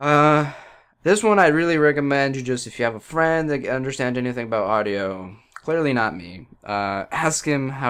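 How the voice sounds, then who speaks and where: Lively intonation comes at a moderate pace over a quiet background. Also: man. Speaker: gaming youtuber. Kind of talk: tech talk / rant. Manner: casual, halting with fillers.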